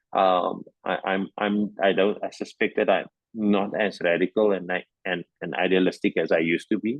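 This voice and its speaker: A man's very deep, low voice moves at a moderate pace. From South Africa, Cape Town area. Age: 60s. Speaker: anti-apartheid activist and former teacher. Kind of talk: interview. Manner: halting, many repetitions and fillers.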